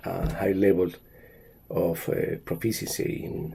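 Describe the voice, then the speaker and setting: At a very slow pace, a man speaks with a Spanish accent. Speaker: language teacher. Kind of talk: monologue talk. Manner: halting, many fillers.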